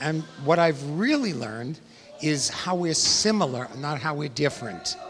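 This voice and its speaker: Over noticeable background noise, a man with an American accent talks at a moderate pace, fairly high-pitched and with lively intonation. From New York. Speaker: educator. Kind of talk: event interview. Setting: gala event.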